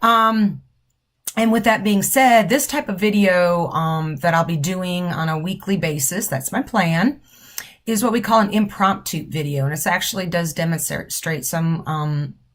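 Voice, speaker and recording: A woman speaks at a fairly slow pace in a fairly low pitch. Her voice is somewhat breathy, with lively intonation. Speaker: nursing professor. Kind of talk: informal instructional video. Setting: office.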